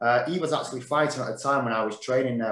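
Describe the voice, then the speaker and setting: A man with a Mancunian accent speaks at a medium pitch in a monotone, flat intonation. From Manchester, northern England. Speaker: former professional boxer. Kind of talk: casual interview chat.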